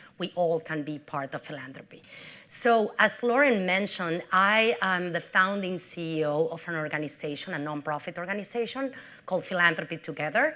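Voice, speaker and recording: Speaking with a strong Mexican accent, a woman uses a bright, sharp tone, a fairly low pitch, ordinary pitch variation and a moderate pace. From Mexico City, Mexico. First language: Spanish. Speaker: nonprofit CEO. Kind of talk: public talk.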